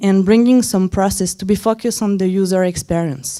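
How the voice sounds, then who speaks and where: A woman of medium pitch speaks with a non-native accent and a dark, mellow tone. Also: very clean recording, silent background. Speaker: head of design at a startup, conference speaker. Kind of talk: conference talk. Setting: stage with audience. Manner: halting, many fillers.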